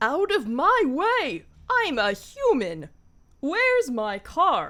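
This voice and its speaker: A woman's put-on character voice, high in pitch, with very wide pitch swings and a very slow pace. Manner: cartoony, excitable.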